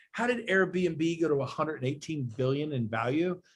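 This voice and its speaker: Lively intonation in a man's fairly high-pitched voice. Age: 50s. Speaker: real estate executive. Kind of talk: casual chat. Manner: animated.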